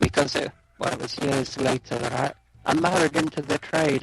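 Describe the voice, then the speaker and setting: Moderate pace and fairly even intonation from a man, dry and close with no echo, with noticeable background noise. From London, England. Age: 60s. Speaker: radio DJ. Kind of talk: interview.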